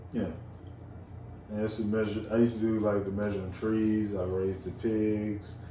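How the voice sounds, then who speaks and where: A man with a Georgia accent, fairly low in pitch and dark and mellow in tone, at a fairly quick pace with long, frequent pauses, flat monotone intonation and audible room echo. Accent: Southern US, rural Georgia. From rural Georgia, US South. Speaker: guest. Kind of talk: casual chat.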